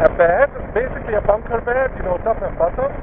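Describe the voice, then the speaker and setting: Noticeable background noise surrounds a man whose moderate pace carries ordinary pitch variation. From Hungary. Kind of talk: casual vlog talk while riding. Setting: outdoors, windy, on a motorcycle at night.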